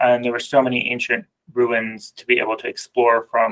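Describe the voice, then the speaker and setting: A man talks, taking a fairly slow pace. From Jordan and South Florida. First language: Arabic. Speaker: designer. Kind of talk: podcast interview.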